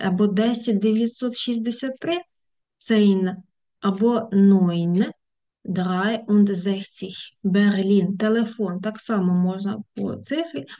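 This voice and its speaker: With a dark, mellow tone and a somewhat breathy quality, a woman talks at a very slow pace in a medium pitch, with ordinary pitch variation and long, frequent pauses. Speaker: German language teacher. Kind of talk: tutorial. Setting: video lesson with screen sharing.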